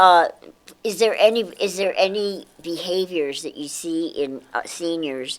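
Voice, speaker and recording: A woman with an American accent talks at a fairly slow pace. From New York. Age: 70s. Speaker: show host. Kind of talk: casual interview chat. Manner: halting.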